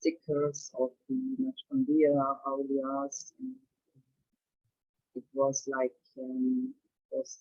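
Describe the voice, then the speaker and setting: In a German accent, a woman speaks at a very slow pace. Her pitch is very deep and low. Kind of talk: testimony. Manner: halting.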